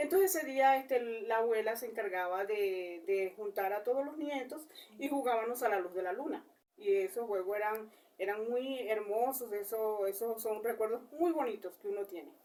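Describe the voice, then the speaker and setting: A woman with a Colombian coastal accent speaks in a fairly high voice with a dark, mellow tone. Her pace is moderate and her pitch varies in an ordinary way. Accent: Colombian coastal (costeño). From Colombian Caribbean coast, Cesar. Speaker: interviewee. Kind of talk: interview. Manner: halting, many fillers.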